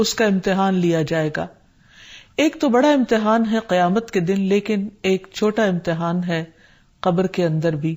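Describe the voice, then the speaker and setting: Very clean recording over a silent background, a woman talking with ordinary pitch variation. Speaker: Islamic scholar. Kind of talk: religious lecture.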